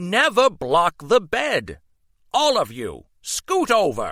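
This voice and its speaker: A man's put-on character voice, pitched high and delivered at a very slow pace. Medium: read story. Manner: formal, instructive.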